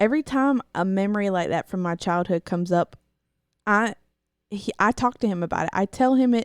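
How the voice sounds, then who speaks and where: A woman's medium-pitched voice at a fairly quick pace, with ordinary pitch variation and a dry, close sound with no echo on a very clean recording with a silent background. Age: 20s. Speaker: host's wife, guest. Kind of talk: casual chat. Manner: soft-spoken. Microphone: microphone processed to pick up quiet voice.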